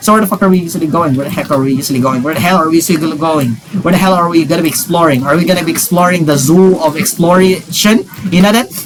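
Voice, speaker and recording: The speaker talks at a very fast pace in an animated tone with ordinary pitch variation. There is noticeable background noise. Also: man, high pitch for a man. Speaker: gaming youtuber. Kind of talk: casual chat.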